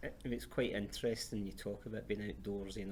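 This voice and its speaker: A man with a Glasgow accent speaks at a moderate pace in a very deep, low voice with vocal fry, and the room echo is audible. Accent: Scottish, Glasgow. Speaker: charity chief executive, interviewer. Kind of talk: interview.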